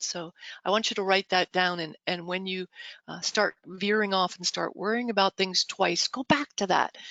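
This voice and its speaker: At a moderate pace, a woman talks in a medium pitch with fairly even intonation. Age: 60s. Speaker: real estate brokerage director and motivational speaker. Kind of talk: motivational talk. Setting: video call. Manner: conversational.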